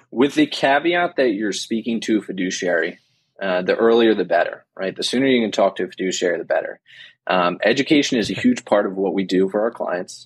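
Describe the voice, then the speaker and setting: With an American accent, a man uses a plain, everyday voice at medium pitch. He talks at a fairly quick pace with lively intonation over a quiet background. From New Jersey. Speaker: financial planner. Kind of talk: casual interview.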